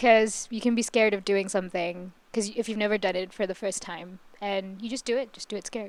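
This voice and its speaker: A woman talks at a fairly quick pace with hardly any pauses, in an unremarkable speaking voice. Her pitch is medium and her intonation fairly even. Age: 20s. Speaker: podcast co-host. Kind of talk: casual chat.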